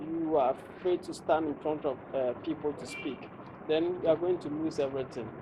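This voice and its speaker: Noticeable background noise sits behind this recording. A man with a Ghanaian accent speaks at a fairly high pitch. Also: fairly even intonation, moderate pace. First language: Ghanaian local language. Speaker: public speaking coach. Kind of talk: interview.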